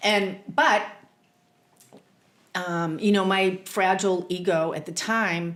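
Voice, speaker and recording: In a Boston accent, a woman of medium pitch talks at a very slow pace with fairly even intonation and long, frequent pauses. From Boston, US. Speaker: therapist and spiritual teacher. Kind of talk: podcast interview.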